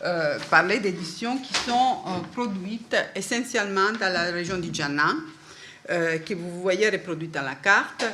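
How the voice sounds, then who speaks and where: A woman with a non-native accent speaks at a fairly slow pace and a medium pitch. Her pitch varies in an ordinary way, and there is audible room echo. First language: not French (speaking French). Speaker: book historian, conference speaker. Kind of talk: academic lecture. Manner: halting, many hesitations.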